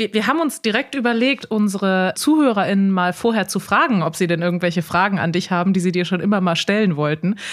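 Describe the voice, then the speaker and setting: On a very clean recording with a silent background, a woman with a Rhineland accent speaks at a medium pitch and very fast pace, with lively intonation, very even loudness and hardly any pauses. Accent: picked up Rhineland. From Bremen, northern Germany. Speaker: podcast host. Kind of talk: casual chat.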